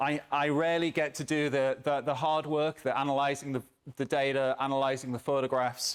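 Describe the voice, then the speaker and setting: A man with a British accent, fairly high-pitched, at a fairly quick pace with very even loudness, on a very clean recording with a silent background. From England. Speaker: academic researcher. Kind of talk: conference talk. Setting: stage with audience.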